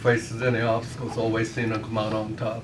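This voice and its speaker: With audible room echo and noticeable background noise, a man talks at a moderate pace in a medium pitch. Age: 70s. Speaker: birthday celebrant. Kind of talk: speech at a family party. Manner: halting.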